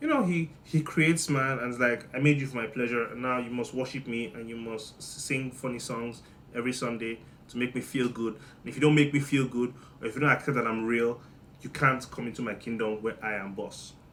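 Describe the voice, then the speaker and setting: A man talking at a fairly quick pace, with big swings in loudness. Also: medium pitch for a man. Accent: Nigerian. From Nigeria. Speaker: comedian. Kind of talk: comedic monologue. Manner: animated.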